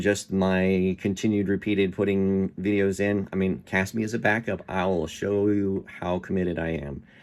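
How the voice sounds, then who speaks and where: Over a very clean recording with a silent background, a man with a very deep, low pitch speaks at a fairly slow pace with fairly even intonation. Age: 50s. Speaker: reality show applicant. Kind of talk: audition tape monologue. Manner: casual, hesitant fillers.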